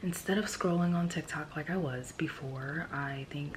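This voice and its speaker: Whispering at a moderate pace, a woman is heard with audible room echo and noticeable background noise. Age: 20s. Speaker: vlogger and student. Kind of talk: casual vlog talk while studying. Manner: soft-spoken.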